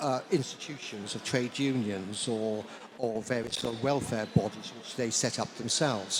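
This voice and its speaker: Noticeable background noise sits behind a man speaking at a moderate pace. His pitch is medium with ordinary variation. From South Wales. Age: 70s. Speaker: historian, author. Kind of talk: panel discussion. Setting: book launch with audience. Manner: halting.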